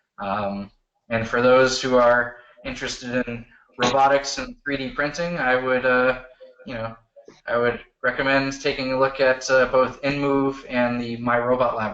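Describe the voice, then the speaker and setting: An ordinary speaking voice comes through with big swings in loudness. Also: man. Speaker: search engine expert. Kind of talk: technical presentation Q&A. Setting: video call.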